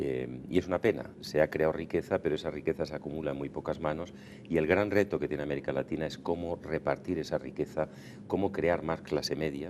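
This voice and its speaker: A man's very deep, low voice with vocal fry and fairly even intonation. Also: fairly quick pace. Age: 60s. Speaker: diplomat. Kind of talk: TV interview.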